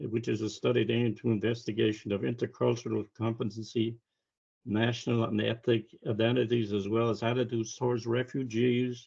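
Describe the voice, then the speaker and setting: A man with a medium-pitched, somewhat breathy voice talks at a fairly quick pace in a flat monotone. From Ireland. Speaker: seminar co-host. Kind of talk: online seminar introduction. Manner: halting.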